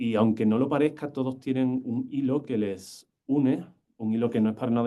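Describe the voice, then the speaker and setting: With an Andalusian accent, a man speaks in a dark, mellow tone and a monotone, flat intonation. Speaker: university lecturer. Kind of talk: lecture. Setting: lecture hall with live and online audience. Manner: fast; poor enunciation.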